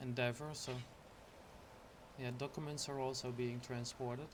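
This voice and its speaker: A relaxed, monotone delivery in a non-native accent, moderate in pace, with audible room echo. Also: man. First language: not English. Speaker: gaming YouTuber. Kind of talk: game walkthrough tour. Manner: hesitant, many fillers.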